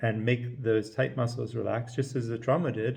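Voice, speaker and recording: A man talks at a medium pitch in a somewhat breathy voice, with audible room echo. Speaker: chiropractor teaching a technique. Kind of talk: lecture. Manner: fast.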